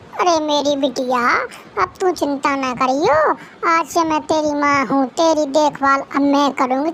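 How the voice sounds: A cartoonish character voice, female-sounding and pitched high for a woman, moves at a moderate pace over clear background noise.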